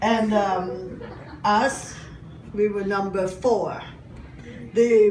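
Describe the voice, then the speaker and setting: With a German accent, a woman speaks at a medium pitch and ordinary pitch variation, amid noticeable background noise and audible room echo. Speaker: comedian. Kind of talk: stand-up.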